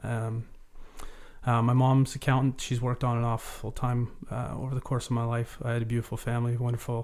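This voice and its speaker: In a Canadian accent, a man talks at a fairly quick pace and medium pitch. His intonation is monotone and flat. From Vancouver Island, Canada (Cowichan Valley). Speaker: charity renovation director, former carpenter. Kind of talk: interview, personal testimony. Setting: recording studio.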